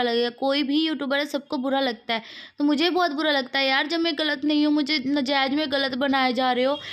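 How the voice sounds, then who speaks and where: A high-pitched woman at a moderate pace, her intonation fairly even. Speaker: vlogger. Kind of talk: casual vlog talk. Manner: loud, raised tone.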